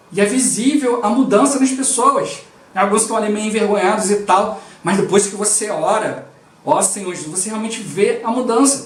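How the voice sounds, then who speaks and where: Against noticeable background noise and audible room echo, a man with a high pitch talks at a moderate pace with ordinary pitch variation. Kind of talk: devotional teaching. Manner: slightly mumbled.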